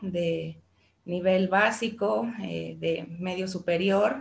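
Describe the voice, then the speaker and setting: At a very slow pace, the speaker talks in a somewhat breathy voice. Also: woman. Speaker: teacher. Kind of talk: interview.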